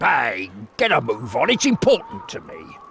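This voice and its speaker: A man speaks at a moderate pace. He uses a put-on character voice. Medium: video game. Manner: eager, earnest.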